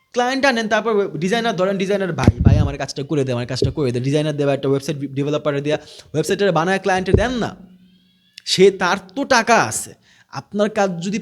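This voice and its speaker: This man has a high-pitched voice and lively intonation. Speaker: digital marketing trainer. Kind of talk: casual talk to camera.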